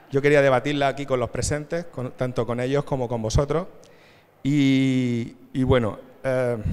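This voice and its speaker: Speaking at a fairly slow pace, a man with a medium pitch keeps his intonation monotone and flat. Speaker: panel moderator. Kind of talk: conference panel moderation. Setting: stage with audience. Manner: halting.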